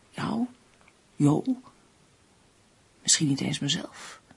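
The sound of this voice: A slow, whispering put-on character voice with vocal fry and a husky, rough edge. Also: woman.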